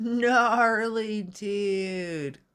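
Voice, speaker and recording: Putting on a character voice, a female-sounding speaker pitches it fairly high. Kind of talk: laid-back slang. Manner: mock, playful.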